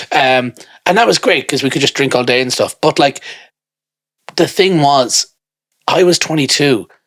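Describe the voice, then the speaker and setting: An animated voice with an Irish accent moves at a moderate pace with lively intonation, very even loudness and long, frequent pauses. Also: man, fairly high pitch for a man. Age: 30s. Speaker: podcast co-host. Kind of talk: casual chat.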